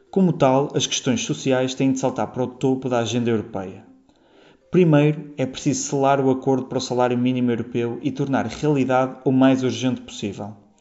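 A plain, everyday voice moves at a fairly quick pace. The intonation stays fairly even. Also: man, medium pitch for a man. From Portugal, Porto. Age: 20s. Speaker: PhD student. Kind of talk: prepared statement.

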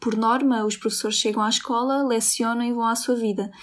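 A woman speaks with a high pitch at a fairly quick pace, her intonation monotone and flat. The recording is very clean, with a silent background. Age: 20s. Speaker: university student, Roma community member. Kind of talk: interview testimony.

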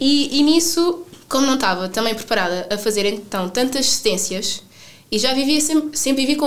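With a European Portuguese accent, a woman talks at a fairly quick pace with lively intonation. Noticeable background noise can be heard. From Portugal, Sines. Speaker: traveller. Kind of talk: interview.

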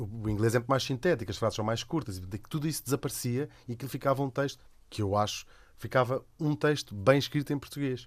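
The speech moves at a very fast pace with ordinary pitch variation. The recording is very clean, with a silent background. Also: man, medium pitch for a man. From Lisbon, Portugal. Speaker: radio host and cartoonist. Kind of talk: casual chat.

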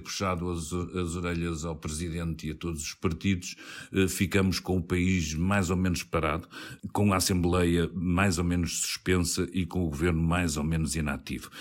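With a very deep, low voice, a man talks at a moderate pace on a very clean recording with a silent background. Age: middle-aged. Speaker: radio political podcast host. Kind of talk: political panel discussion.

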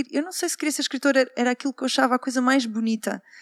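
A woman with ordinary pitch variation is heard in a dry, close sound with no echo on a very clean recording with a silent background. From Portugal, Porto. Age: 40s. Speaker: journalist and writer. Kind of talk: live panel talk. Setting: stage with audience at literary festival.

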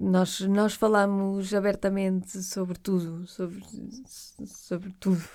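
The delivery is very slow and monotone, with flat intonation and a dark, mellow tone. The recording is very clean, with a silent background. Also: woman, medium pitch for a woman. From Portugal, Porto. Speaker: radio presenter. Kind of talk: interview conversation.

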